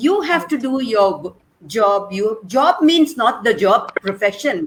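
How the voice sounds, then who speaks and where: Somewhat breathy and fairly high, a woman's voice moves at a fairly slow pace with very wide pitch swings. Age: 70s. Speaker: schoolteacher. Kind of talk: panel chat show interview.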